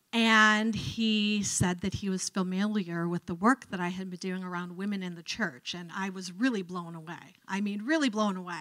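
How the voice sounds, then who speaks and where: A woman's bright, sharp tone with fairly even intonation. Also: quiet background. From Cleveland, Ohio, US; Ohio. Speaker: professor of religious studies; guest lecturer. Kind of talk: lecture. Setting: lecture hall with audience. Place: hall. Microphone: handheld.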